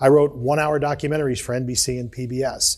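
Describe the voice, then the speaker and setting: A man with a Midwestern accent speaks in a somewhat breathy voice. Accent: US Midwest (Ohio). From Akron, Ohio, US. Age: 50s. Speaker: broadcast journalist and retired army officer. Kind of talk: interview.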